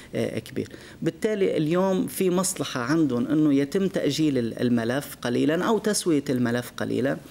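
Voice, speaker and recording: Lively intonation runs through this man's speech. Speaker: guest. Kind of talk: interview answer. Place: studio.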